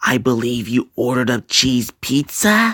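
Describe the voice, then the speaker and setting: A man talks at a moderate pace in a put-on character voice. His pitch sits in the middle range. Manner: creepy.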